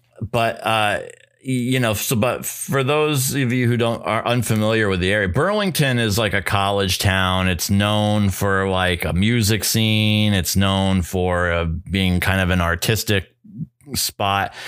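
Speaking at a fairly slow pace, a man uses a fairly low pitch with ordinary variation and very even loudness. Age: 40s. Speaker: podcast co-host. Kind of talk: casual chat. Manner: halting.

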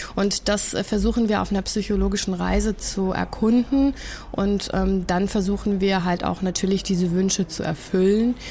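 A woman at a medium pitch and moderate pace, fairly even in intonation, with noticeable background noise. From Germany and the USA. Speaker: cancer activist and author. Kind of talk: casual interview.

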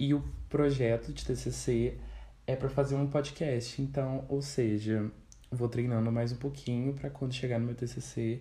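A man speaks at medium pitch in a dark, mellow tone. His voice is somewhat breathy, and his pace is moderate. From Brazil, Vale do Paraíba (São Paulo state interior). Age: 20s. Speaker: journalism student podcaster. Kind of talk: solo casual monologue. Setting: at family home. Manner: animated.

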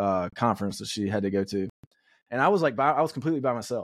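The speech moves at a fairly quick pace with ordinary pitch variation and a dry, close sound free of echo. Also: man. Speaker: podcast host. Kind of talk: casual chat. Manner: animated.

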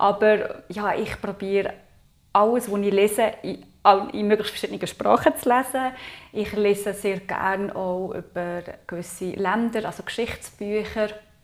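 With a Swiss accent, a woman talks at medium pitch with fairly even intonation. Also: fairly slow pace. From Switzerland, Aargau. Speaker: intercultural consultant. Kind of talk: podcast interview.

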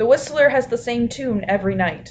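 At a moderate pace, a woman's voice rises and falls with ordinary pitch variation. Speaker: podcast co-host. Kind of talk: casual chat. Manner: soft-spoken.

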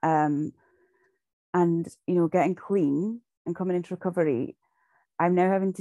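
Speaking with a Shetland accent, a woman has a dark, mellow tone and fairly even intonation. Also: dry, close sound with no echo. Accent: Shetland Scottish. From Shetland, Scotland. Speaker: recovery group member. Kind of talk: sharing testimony. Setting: video call.

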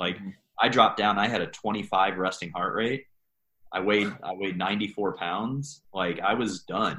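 Here a man has a plain, everyday voice, fairly low in pitch. He talks at a fairly slow pace with ordinary pitch variation. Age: 30s. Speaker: coach and army veteran. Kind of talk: interview.

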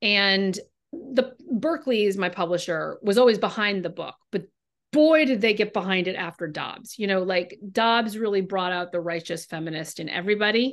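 With an American accent and an unremarkable speaking voice, a woman at a medium pitch talks at a moderate pace with lively intonation against a quiet background. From California. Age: 40s. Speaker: novelist. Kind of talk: interview.

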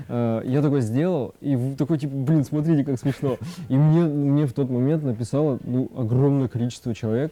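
Speaking at a moderate pace, a man with a fairly high pitch and a dark, mellow tone keeps his intonation fairly even. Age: 20s. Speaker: Instagram blogger. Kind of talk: casual chat. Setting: cafe.

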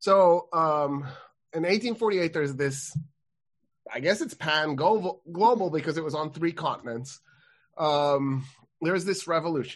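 A man with a fairly high pitch speaks with ordinary pitch variation and long, frequent pauses. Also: fairly slow pace. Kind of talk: casual discussion podcast.

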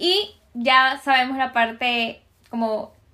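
A woman's high-pitched, raised and projected voice, bright and sharp in tone. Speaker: podcast host. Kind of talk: interview.

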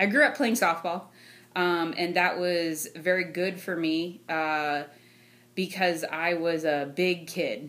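A woman speaks at a very slow pace and a fairly low pitch, with fairly even intonation. The recording is very clean, with a silent background. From Ohio, US. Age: 30s. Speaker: sales engineer. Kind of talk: casual interview. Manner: laughs often.

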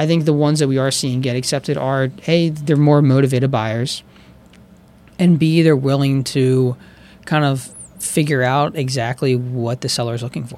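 This man has an American accent and a fairly high pitch. His intonation is fairly even and his pace moderate. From Pennsylvania, Chester County (Downingtown). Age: 20s. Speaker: real estate agent. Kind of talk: casual interview. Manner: hesitant, many fillers.

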